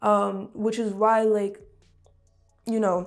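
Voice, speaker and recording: Music plays behind a woman speaking. She has a medium pitch and a New York accent. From Brooklyn, New York. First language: Russian. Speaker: musician. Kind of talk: interview. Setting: studio.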